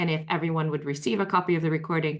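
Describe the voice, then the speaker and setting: At a very fast pace, a woman talks with a fairly low pitch. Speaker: webinar host, health benefits executive. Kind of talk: webinar panel discussion. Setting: online webinar.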